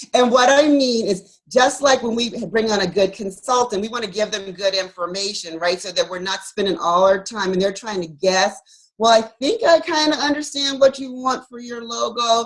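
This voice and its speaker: With hardly any pauses, a woman speaks at a fairly high pitch with lively intonation and big swings in loudness. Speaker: physician and wellness author. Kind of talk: interview. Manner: fast.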